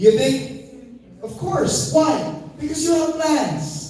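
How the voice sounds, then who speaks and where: Animated in tone, a man's voice swings very widely in pitch, with audible room echo and noticeable background noise. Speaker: network marketing trainer. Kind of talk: motivational seminar talk.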